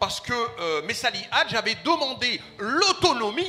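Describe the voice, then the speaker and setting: A man speaks at an extremely high pitch with very wide pitch swings. Noticeable background noise can be heard. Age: 60s. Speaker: community association leader, audience member. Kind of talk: audience comment at a public debate. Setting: festival stand with live audience. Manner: hesitant, repeats words.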